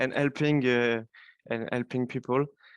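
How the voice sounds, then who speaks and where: A man with a French accent is heard against a quiet background, the sound dry and close with no echo. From France. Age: 20s. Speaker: software developer. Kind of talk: interview. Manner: halting.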